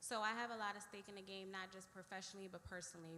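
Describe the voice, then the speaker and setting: Loud and very fast, the speech has a bright, sharp tone, an American accent and audible room echo. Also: woman. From Washington DC, Trinidad neighborhood. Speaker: police lieutenant. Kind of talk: community meeting presentation. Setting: church community meeting with audience. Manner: direct.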